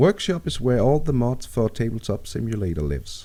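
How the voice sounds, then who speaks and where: A man's dark, mellow voice with a Danish accent, very wide pitch swings and a moderate pace, on a very clean recording with a silent background. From Denmark. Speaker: gaming tutorial maker. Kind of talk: tutorial.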